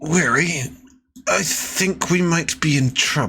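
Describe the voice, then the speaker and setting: Putting on a character voice, a man speaks at a fairly slow pace in a raspy, strained voice that is fairly high in pitch, with ordinary pitch variation. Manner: through gritted teeth, strained.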